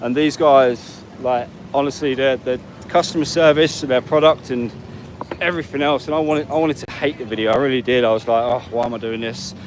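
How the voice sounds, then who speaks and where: A man speaks at a fairly quick pace with an English accent, his pitch medium and its variation ordinary. Noticeable background noise runs under his voice. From England. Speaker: travel vlogger. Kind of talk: live stream walk and talk. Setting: outdoors on a street. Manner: fast.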